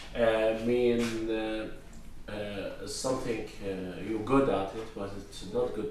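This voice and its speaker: Over noticeable background noise, a man with a medium pitch speaks very slowly with fairly even intonation. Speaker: English learner. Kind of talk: casual English lesson dialogue.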